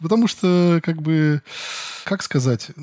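A plain, everyday voice from a man, fairly slow and with ordinary pitch variation, sounding dry and close with no echo. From Western Siberia. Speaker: animator. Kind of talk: casual interview.

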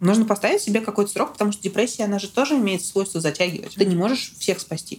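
A woman talks at a very fast pace at medium pitch. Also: ordinary pitch variation. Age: 20s. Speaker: guest sharing depression experience. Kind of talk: personal testimony in conversation.

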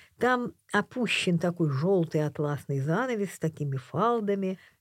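Fairly low in pitch, a woman speaks at a fairly slow pace with very wide pitch swings. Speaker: painter and author. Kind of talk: casual interview conversation. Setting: radio studio.

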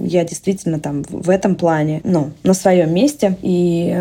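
Using a normal speaking voice, a woman talks at a fairly low pitch with ordinary pitch variation. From Russia. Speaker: entrepreneur. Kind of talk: interview.

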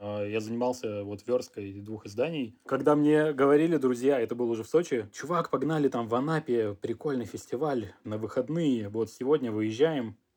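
Delivered at a moderate pace, the talking flows on with hardly any pauses. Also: man, medium pitch for a man, ordinary pitch variation. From Russia. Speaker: clothing designer and entrepreneur. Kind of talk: interview. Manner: casual, slangy.

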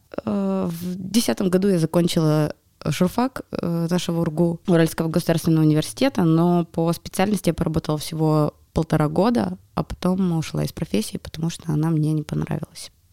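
Dry and close with no echo, a woman's fairly low voice carries a dark, mellow tone and lively intonation. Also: moderate pace. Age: 30s. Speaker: media assistant and psychologist. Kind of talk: casual chat. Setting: studio.

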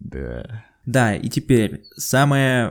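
A man is talking. Music plays in the background. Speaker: podcast co-host. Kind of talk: casual chat.

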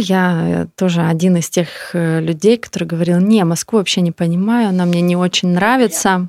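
Recorded dry and close with no echo, a woman speaks at medium pitch and a moderate pace, with ordinary pitch variation and hardly any pauses. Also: very clean recording, silent background. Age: 30s. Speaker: yoga studio founder and owner. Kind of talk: casual interview chat. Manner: halting, many fillers and restarts.

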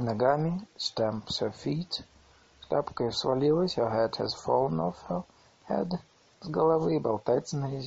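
The intonation is lively, and the voice is an unforced reading voice.

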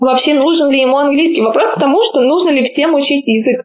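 A woman's high-pitched voice at a very fast pace. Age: 20s. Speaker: English teacher and blogger. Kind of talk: casual chat.

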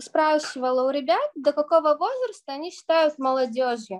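A woman's high-pitched voice with lively intonation at a moderate pace, in a dry, close sound with no echo. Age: 20s. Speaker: youth parliament member and student. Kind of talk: radio interview.

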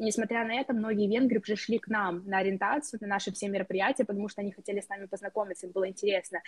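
Very fast and somewhat breathy, a woman speaks at a medium pitch with fairly even intonation. The sound is dry and close, with no echo. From Moldova. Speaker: university student. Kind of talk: interview.

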